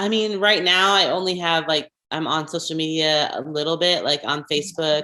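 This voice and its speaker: Bright and sharp in tone, a woman speaks at a fairly low pitch with fairly even intonation and hardly any pauses. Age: 40s. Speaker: former pastor. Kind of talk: interview. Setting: podcast. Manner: fast.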